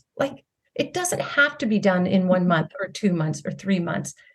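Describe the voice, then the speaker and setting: A woman's somewhat breathy voice with lively intonation. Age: 60s. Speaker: health and wellness coach. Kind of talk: interview conversation.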